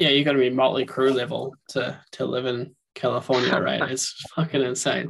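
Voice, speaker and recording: A man speaks with a New Zealand accent and a monotone, flat intonation. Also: medium pitch for a man, moderate pace. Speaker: podcast host. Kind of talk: casual interview chat.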